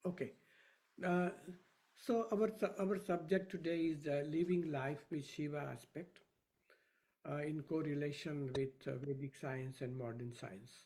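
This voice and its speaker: Somewhat breathy and dark, mellow in tone, a man speaks fairly slowly at a fairly high pitch, with ordinary pitch variation and long, frequent pauses. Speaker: professor of Vedic science. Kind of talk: lecture. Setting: video call. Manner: soft-spoken; quiet. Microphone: too quiet.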